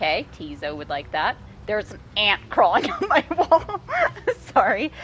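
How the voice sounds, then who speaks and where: A woman talks at a moderate pace with noticeable background noise. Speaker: video game streamer. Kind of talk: live game stream with reading aloud of game text. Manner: casual, swearing, reads game text aloud.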